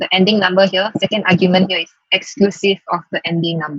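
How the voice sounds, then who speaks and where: Dry and close with no echo, a woman speaks at a very fast pace and medium pitch. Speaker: data science workshop instructor. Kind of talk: tutorial.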